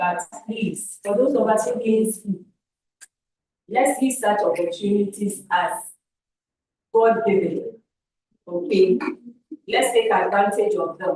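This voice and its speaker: In a Ghanaian accent, a woman with a fairly high pitch and a dark, mellow, somewhat breathy tone speaks very slowly, with long, frequent pauses. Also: ordinary pitch variation. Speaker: camp facilitator giving feedback to youth. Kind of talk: feedback talk to youth camp. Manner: repetitive, halting.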